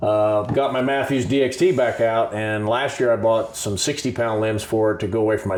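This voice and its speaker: Against a silent background on a very clean recording, a man with a normal speaking voice talks at fairly low pitch with fairly even intonation. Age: 60s. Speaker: outdoors show host, hunter. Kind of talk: casual chat.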